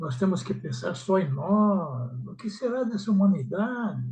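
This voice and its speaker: A man with a high pitch and lively intonation. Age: 80s+. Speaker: study group participant. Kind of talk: emotional personal reflection in group discussion. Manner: halting.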